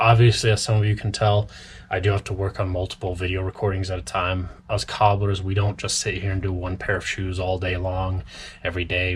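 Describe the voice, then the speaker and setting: A man talks at a fairly quick pace with a very deep, low pitch. His voice is somewhat breathy. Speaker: cobbler. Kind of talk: tutorial. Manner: talkative, casual.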